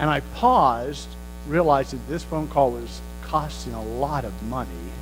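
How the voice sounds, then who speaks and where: A man with an American accent at a moderate pace, big swings in loudness, and audible room echo. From United States. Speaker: pastor. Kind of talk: sermon.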